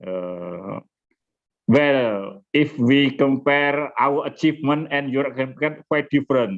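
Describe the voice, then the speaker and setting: A man's fairly high-pitched voice with a Javanese accent, ordinary pitch variation, and a very slow pace. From Indonesia, Java. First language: Indonesian or Javanese. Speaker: nuclear society chairman. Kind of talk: webinar opening remarks. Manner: halting.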